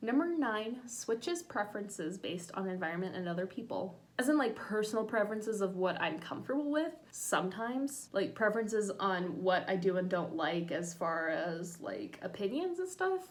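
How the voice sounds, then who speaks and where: With audible room echo, a woman at a medium pitch talks at a moderate pace with lively intonation. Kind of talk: casual vlog, reading a checklist aloud. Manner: casual, hesitant with many fillers.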